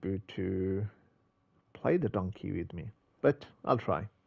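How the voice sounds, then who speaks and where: Against a quiet background, a man speaks in a fairly low, somewhat breathy voice. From England. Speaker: gaming streamer. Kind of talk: live gameplay commentary; casual gameplay commentary. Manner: casual, chatty. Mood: mildly frustrated. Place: home room. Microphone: headset.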